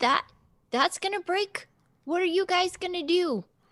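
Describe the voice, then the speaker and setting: Using a put-on character voice, a woman projects at an extremely high pitch with lively intonation and a moderate pace, in a dry, close sound with no echo. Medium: actual play. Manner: stammering, hesitant.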